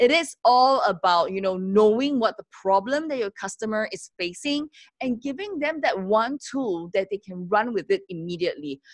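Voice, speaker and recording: The speaker barely pauses, and the pitch swings very widely. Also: woman, fairly high pitch for a woman, moderate pace. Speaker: entrepreneur and women's network founder. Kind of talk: interview. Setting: video call.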